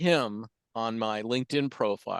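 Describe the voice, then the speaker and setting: The recording of this man is dry and close with no echo and a quiet background, his medium pitch showing ordinary pitch variation. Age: 60s. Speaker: business owner. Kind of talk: casual chat. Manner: halting.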